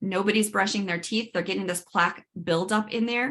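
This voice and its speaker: Her pace is fairly quick. The woman's pitch sits at a medium level, with fairly even intonation. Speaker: dental hygienist and myofunctional therapist. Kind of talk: webinar workshop presentation. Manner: fast.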